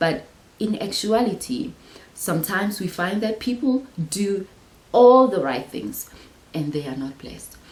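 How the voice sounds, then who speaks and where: A woman at a medium pitch, fairly slow, with very wide pitch swings, big swings in loudness and long, frequent pauses. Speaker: Bible teacher, channel host. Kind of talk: Bible study talk. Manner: repeats words, filler-heavy.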